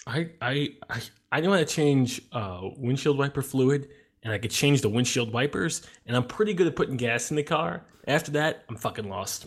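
A man with a normal speaking voice, fairly high in pitch, at a moderate pace with lively intonation. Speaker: podcast co-host. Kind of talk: casual chat. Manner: laughs often.

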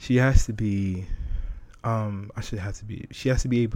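At a moderate pace, a man speaks in a dark, mellow tone with fairly even intonation, on a very clean recording with a silent background. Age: 30s. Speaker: podcast host. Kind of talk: solo podcast monologue, casual. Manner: laid back, casual; candid, joking.

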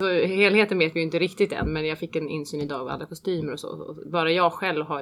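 Over noticeable background noise, a woman speaks at a very fast pace with fairly even intonation. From Switzerland. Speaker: opera singer. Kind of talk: interview.

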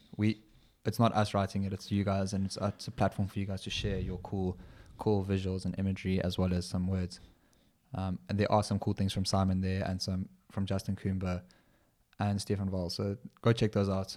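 Very deep and low, a man's voice has a dark, mellow tone and monotone, flat intonation at a fairly quick pace. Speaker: podcast co-host and trail runner. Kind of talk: casual chat.

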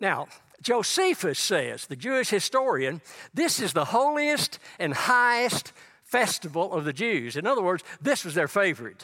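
In a Texan accent, a raised, projected voice with a bright, sharp tone moves at a moderate pace through very wide pitch swings. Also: man, high pitch for a man. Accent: Texan Southern US. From East Texas. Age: 80s+. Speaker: guest preacher. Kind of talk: sermon. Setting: church.

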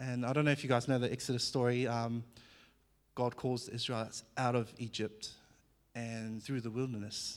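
A man with a slight New Zealand accent speaks at a medium pitch in a monotone, flat delivery, recorded very cleanly against a silent background. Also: moderate pace. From New Zealand (born in Fiji). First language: Fijian. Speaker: former professional athlete sharing testimony. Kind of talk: church testimony talk. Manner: casual, halting with many fillers.

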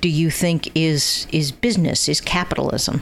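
With an American accent, a woman speaks at a very slow pace and a fairly low pitch amid noticeable background noise. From US Northeast (Connecticut). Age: old. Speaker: podcast host. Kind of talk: interview.

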